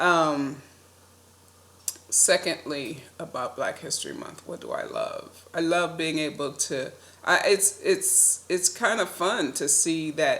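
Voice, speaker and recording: Noticeable background noise sits behind the speech. A woman talks at a fairly slow pace. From US Midwest, Detroit. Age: 60s. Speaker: vlogger. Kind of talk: personal reflection monologue. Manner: casual, with frequent fillers.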